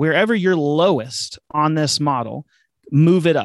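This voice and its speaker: In a normal speaking voice, a man with a fairly high pitch speaks at a moderate pace, the recording very clean with a silent background and a dry, close sound with no echo. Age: 40s. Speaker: chief financial officer. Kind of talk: interview conversation.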